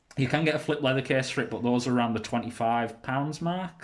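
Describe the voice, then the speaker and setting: With a British accent, a man speaks at a medium pitch and a moderate pace. His pitch varies in an ordinary way. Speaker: tech reviewer. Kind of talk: casual product review. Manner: hesitant, many fillers.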